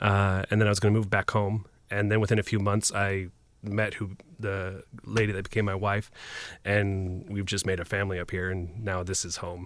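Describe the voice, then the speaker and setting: A man speaks at a moderate pace in a fairly low pitch, his intonation monotone and flat, on a very clean recording with a silent background. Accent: American. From US Pacific Northwest (Portland, Oregon area). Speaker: sports broadcast production crew. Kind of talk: casual interview chat. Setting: studio. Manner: halting, many fillers.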